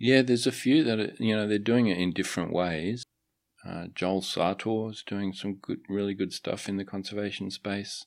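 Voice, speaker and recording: On a very clean recording with a silent background, a man with an Australian accent speaks at a fairly low pitch with fairly even intonation. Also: moderate pace. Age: 50s. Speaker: wildlife photographer. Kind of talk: casual interview. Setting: studio. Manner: halting, many fillers.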